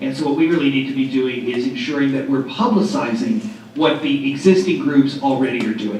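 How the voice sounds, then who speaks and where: A man with an American accent speaks with lively intonation. Audible room echo and noticeable background noise surround him. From US West Coast, Los Angeles. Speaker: political candidate. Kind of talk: candidate forum speech. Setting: community event hall with audience.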